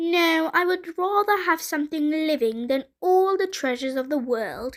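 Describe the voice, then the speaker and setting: A woman's put-on character voice, extremely high in pitch, in a very clean recording with a silent background. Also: moderate pace. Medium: read story. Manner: sly, bargaining.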